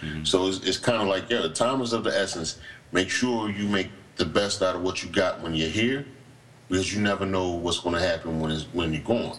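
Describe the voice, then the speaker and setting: A man with an American accent speaks at a fairly quick pace in a very deep, low voice. His pitch varies in an ordinary way, and there is noticeable background noise. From Morristown, New Jersey. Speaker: comedian and podcast co-host. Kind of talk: casual chat. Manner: animated.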